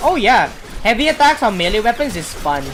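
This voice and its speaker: A woman talks fairly quickly with lively intonation, noticeable background noise behind her. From Philippines. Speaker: video game streamer. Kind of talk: casual gameplay commentary. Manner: rambling, hesitant with fillers.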